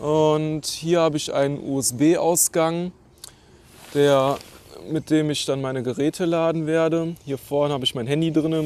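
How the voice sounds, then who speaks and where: Fairly high male pitch at a fairly slow pace. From Germany, Neuss (Rhineland). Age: 30s. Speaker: travel vlogger, cyclist. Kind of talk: casual gear walkthrough vlog. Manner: casual, hesitant with fillers.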